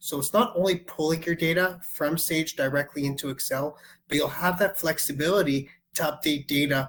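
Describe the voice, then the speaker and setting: With a Canadian accent, this man has a plain, everyday voice, pitched fairly high for a man, with ordinary pitch variation. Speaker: software sales executive. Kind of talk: product demo webinar. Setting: online webinar call.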